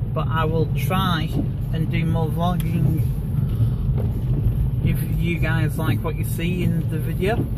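Against loud background noise, a man speaks at a fairly slow pace, the sound dry with no echo. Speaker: vlogger driving. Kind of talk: casual vlog chat. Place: car. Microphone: phone near.

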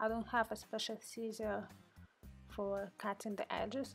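A non-native accent with music in the background. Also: woman. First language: not English. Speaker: card-making hobbyist. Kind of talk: casual craft tutorial voice-over. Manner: unscripted, conversational.

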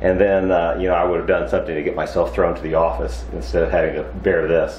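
A man's voice with audible room echo and light background noise. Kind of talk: casual vlog chat. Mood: cheerful, relaxed. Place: workshop. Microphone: lapel.

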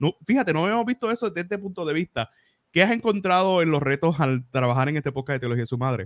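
A man racing at a very fast pace with a Puerto Rican accent and very wide pitch swings, dry with no echo over a quiet background. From Puerto Rico. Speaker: podcast host; podcast host interviewer. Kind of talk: casual interview. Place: home room. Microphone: studio mic.

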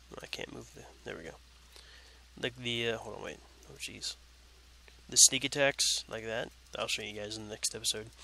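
A man talks at a very fast pace. The sound is dry with no echo, and there is light background noise. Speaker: gaming youtuber; gaming commentator. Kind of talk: let's play commentary. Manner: casual, halting with self-corrections. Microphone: new headset mic, picks up more than laptop; headset.

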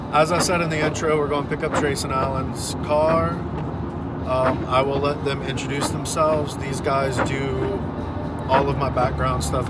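A man's voice at a moderate pace with ordinary pitch variation, dry with no echo, against loud background noise. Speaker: channel host. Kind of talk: casual vlog chat. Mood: relaxed, joking. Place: car. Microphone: phone near.

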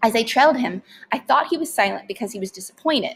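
Lively intonation over plain reading aloud

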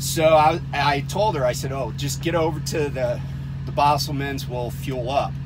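Behind the voice, music is playing. The speaker is a man. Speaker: truck driver vlogger. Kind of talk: casual vlog chat. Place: car. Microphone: phone near.

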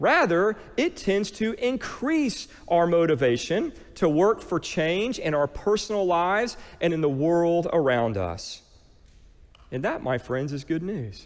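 With an American accent, a man talks at a fairly slow pace in a high pitch, his warm tone moving through very wide pitch swings. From US. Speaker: pastor. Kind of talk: sermon. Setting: church. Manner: calm, gentle, guiding, meditative pace during the prayer exercise; warm, earnest, conversational preacher. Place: church. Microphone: headset.

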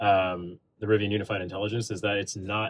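Light background noise runs under a man's fairly low, somewhat breathy voice. He keeps a moderate pace. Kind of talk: product demo explanation. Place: car.

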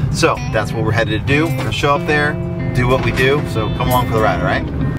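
Over loud music in the background, a man talks at a very fast pace with ordinary pitch variation and a dry sound with no echo. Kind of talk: casual vlog chat. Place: car.

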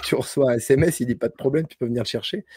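A man's somewhat breathy, dark and mellow voice at a fairly quick pace, dry with no echo. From France, Bordeaux; France. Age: 40s. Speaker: homesteading content creator. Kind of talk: casual chat. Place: home room. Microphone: studio mic.

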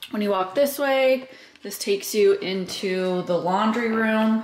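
A woman speaks at a fairly slow pace with ordinary pitch variation, audible room echo and light background noise. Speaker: homeowner vlogger. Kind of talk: casual vlog chat. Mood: excited, happy. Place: home room. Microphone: phone near.

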